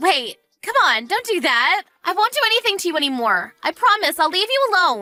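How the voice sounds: Using a put-on character voice, a woman speaks at an extremely high pitch with big pitch swings and a bright, sharp tone, while faint music plays in the background.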